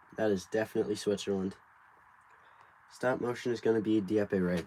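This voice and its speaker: A man with an American accent, fairly low in pitch, with a dark, mellow tone, fairly even intonation and a moderate pace. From United States. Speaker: brick builder livestreamer. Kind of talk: casual livestream chat while building.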